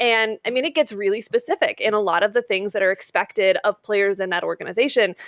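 A woman speaks in a plain, everyday voice at a fairly high pitch and fairly quick pace, with ordinary pitch variation. The sound is dry and close with no echo, on a very clean recording with a silent background. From Utah, Salt Lake City. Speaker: sports broadcaster and podcaster. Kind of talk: casual interview.

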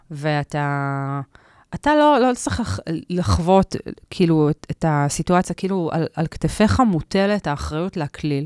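Recorded dry and close with no echo against a silent background, a woman with a very deep, low pitch speaks at a fairly slow pace. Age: 40s. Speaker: stand-up comedian and journalist. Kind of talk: casual interview chat.

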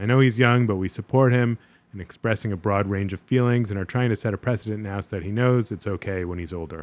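Against a quiet background, a man with an unremarkable speaking voice talks in a fairly low pitch. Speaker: podcast co-host, therapist. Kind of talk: casual chat.

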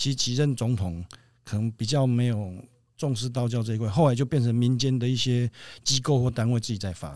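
On a very clean recording with a silent background, a man with a plain, everyday voice speaks at a medium pitch and a fairly quick pace, with ordinary pitch variation. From central Taiwan. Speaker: Taoist priest. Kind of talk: interview.

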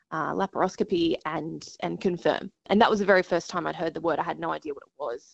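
Here a woman talks at a very fast pace. She has an Australian accent. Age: 30s. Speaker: TV news presenter and patient advocate. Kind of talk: interview.

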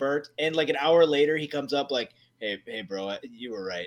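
This man has an unremarkable speaking voice, pitched fairly high for a man, and talks at a fairly quick pace. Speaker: podcast co-host.

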